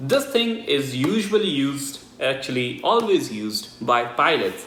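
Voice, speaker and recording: The speech moves at a fairly slow pace with lively intonation. Audible room echo and noticeable background noise are present. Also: man. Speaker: tech reviewer and student pilot. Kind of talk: unboxing review. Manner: casual, chatty.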